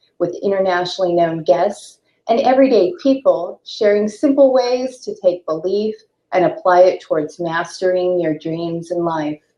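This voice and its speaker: A plain, everyday voice from a woman of medium pitch, fairly slow, with lively intonation. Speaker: talk show host. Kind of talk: show intro read.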